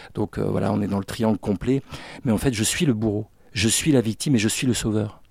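A man at medium pitch and a fairly quick pace, with ordinary pitch variation, on a very clean recording with a silent background and a dry, close sound with no echo. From Brittany, France (Finistère, Brest). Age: 50s. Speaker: therapist, former business owner. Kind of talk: interview testimony. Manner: hesitant, many fillers.

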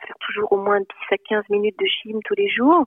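A woman is speaking. Her pace is fairly slow. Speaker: psychologist and novelist. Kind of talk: interview. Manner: halting, many repetitions and hesitations.

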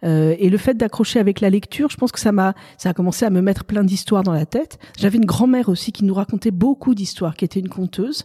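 A woman with a medium pitch and a dark, mellow tone speaks at a very fast pace and sounds somewhat breathy. The sound is dry and close with no echo. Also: ordinary pitch variation. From Paris, France. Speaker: novelist. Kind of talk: interview.

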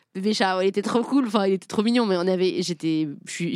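The delivery comes at a very fast pace with lively intonation. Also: woman. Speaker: podcast host and game creator. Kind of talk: casual chat. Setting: live recording with audience.

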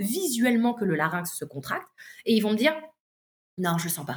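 Her pitch fairly high, a woman talks at a moderate pace with very wide pitch swings. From southern France, La Ciotat. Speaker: singer and vocal coach. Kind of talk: casual interview chat.

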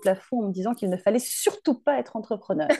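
A woman's voice sits at a medium pitch. She speaks at a very fast pace. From France, Drôme (near Valence). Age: 40s. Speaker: hairdressing educator. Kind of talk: casual interview.

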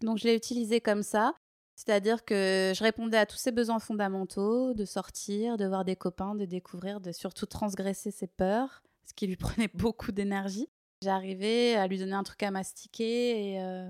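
In an ordinary speaking voice, a woman talks at a fairly slow pace and medium pitch with fairly even intonation, the sound dry and close with no echo. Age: 30s. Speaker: dog trainer and dog walker. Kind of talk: interview.

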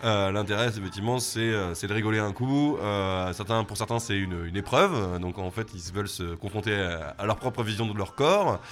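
Music plays in the background as a man talks at a moderate pace with hardly any pauses. His pitch varies in an ordinary way. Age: 40s. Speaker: bar owner. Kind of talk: interview. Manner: halting, many repetitions.

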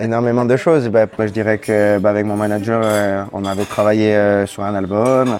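A man's fairly low voice in a monotone, flat delivery at a moderate pace. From Corsica (Bastia). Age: 30s. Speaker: singer-songwriter. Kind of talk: interview. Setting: café. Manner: hesitant, many fillers.

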